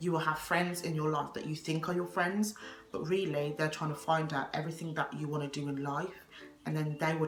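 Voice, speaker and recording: Over music in the background and audible room echo, a woman speaks at a very deep, low pitch with ordinary variation. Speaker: vlogger. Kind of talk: advice vlog. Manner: loud.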